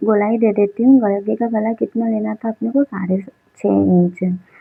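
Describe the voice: A woman with a fairly high pitch talks at a moderate pace, her voice showing vocal fry and a slightly husky edge, recorded dry and close with no echo.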